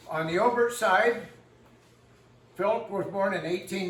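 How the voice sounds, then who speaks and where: Loud and high-pitched, a man speaks in an American accent, with audible room echo and noticeable background noise. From northwestern Pennsylvania. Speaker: local historian. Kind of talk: community history talk. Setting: room with live audience and microphone. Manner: casual, folksy.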